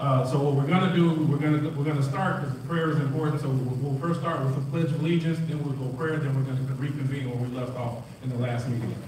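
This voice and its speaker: Speaking very fast with hardly any pauses, a man uses a fairly high pitch and fairly even intonation. Light background noise and audible room echo are present. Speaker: village trustee chairing the meeting. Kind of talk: formal public board meeting. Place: hall.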